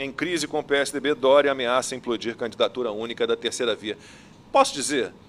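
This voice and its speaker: A man's fairly high voice, a normal speaking voice, at a fairly quick pace with fairly even intonation. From Rio de Janeiro. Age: 50s. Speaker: TV news anchor. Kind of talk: news talk show.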